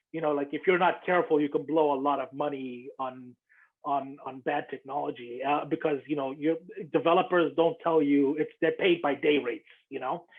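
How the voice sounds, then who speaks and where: Using a normal speaking voice, a man talks at a fairly high pitch. His pace is moderate, with fairly even intonation. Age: 30s. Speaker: podcast host. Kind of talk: interview.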